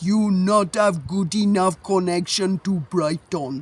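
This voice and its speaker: Putting on a character voice with a strong non-native accent, a man speaks fairly slowly at a high pitch. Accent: heavy foreign. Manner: imitation, brusque.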